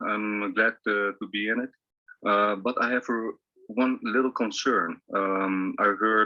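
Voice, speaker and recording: A man speaks very slowly with a Dutch accent. His pitch is fairly low. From Netherlands. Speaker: investor asking a question. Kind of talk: live Q&A question. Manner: halting, many fillers.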